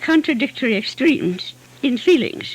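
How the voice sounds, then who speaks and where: Against noticeable background noise, a woman's voice swings very widely in pitch. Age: 80s+. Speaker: poet. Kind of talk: literary lecture.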